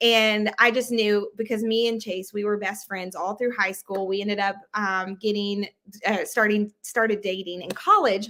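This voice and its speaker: A woman with an American accent speaks at a medium pitch and a moderate pace. Her tone is bright and sharp, her intonation flat and monotone. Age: 20s. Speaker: sales director. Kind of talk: interview. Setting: livestream video call.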